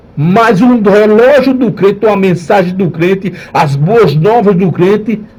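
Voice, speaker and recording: A man speaks at a high pitch and a fairly slow pace, with very even loudness. Room echo is audible. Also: ordinary pitch variation. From Northeast Brazil. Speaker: pastor. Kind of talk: radio sermon.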